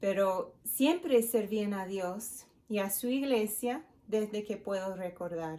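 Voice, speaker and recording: At a very slow pace, a woman speaks in a dark, mellow tone with fairly high pitch. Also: ordinary pitch variation. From United States. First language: English (speaking Spanish). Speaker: pastor's wife, speaker at women's event. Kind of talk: devotional talk.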